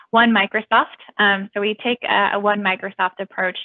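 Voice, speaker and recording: A woman has a normal speaking voice at a medium pitch. She talks at a moderate pace with an American accent. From United States. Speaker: university recruiter. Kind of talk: presentation.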